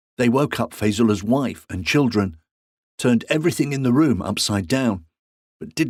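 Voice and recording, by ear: The speaker reads aloud in a natural voice against a quiet background.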